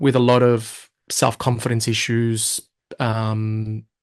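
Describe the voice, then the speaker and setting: A man speaks with an Australian accent at a very slow pace. The background is quiet. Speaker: hypnosis and NLP coach. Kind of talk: interview. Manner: stutter.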